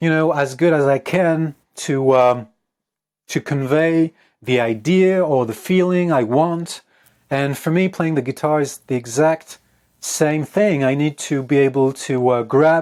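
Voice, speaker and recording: A man with a French accent speaks at a fairly slow pace, his pitch fairly high with ordinary variation. The recording is very clean, with a silent background. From France. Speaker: guitarist and composer. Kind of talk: interview. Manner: halting.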